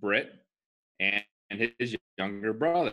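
The pace is very slow. The tone is bright and sharp, with lively intonation. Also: man. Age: 20s. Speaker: podcast co-host. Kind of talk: casual chat.

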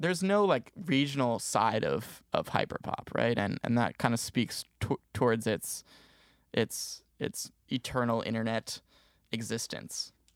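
This is an ordinary speaking voice: a man with an American accent, medium pitch and lively intonation, talking at a fairly slow pace. The very clean recording has a silent background and a dry, close sound with no echo. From New Jersey. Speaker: music business student and podcast producer. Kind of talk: casual interview.

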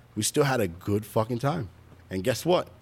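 Lively intonation runs through speech delivered with a New York accent. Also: man. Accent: New York City. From Brooklyn, New York. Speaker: drag racer. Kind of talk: casual chat.

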